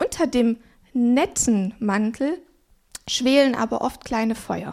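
Her high-pitched voice carries lively intonation as the woman talks at a very slow pace. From Swabia, southern Germany. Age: 30s. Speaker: pastor. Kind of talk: sermon.

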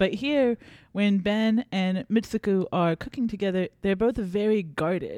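A woman speaks at medium pitch in a dark, mellow tone, with ordinary pitch variation and very even loudness. The sound is dry and close, without echo. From South Carolina. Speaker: librarian, podcast co-host. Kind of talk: casual book discussion.

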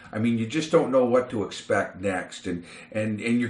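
The man's voice sits at medium pitch, and his pace is moderate. Noticeable background noise runs behind him. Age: 50s. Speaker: podcast host. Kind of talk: casual chat.

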